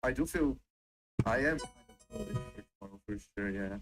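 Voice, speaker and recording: Over music in the background, a man with a non-native accent talks at a moderate pace with lively intonation. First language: not English. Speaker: novice trader. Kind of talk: casual chat. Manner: halting.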